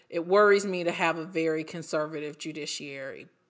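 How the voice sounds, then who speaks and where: On a very clean recording with a silent background, a woman speaks at a moderate pace. Her fairly low voice has a bright, sharp tone and lively intonation. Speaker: trial lawyer. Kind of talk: interview.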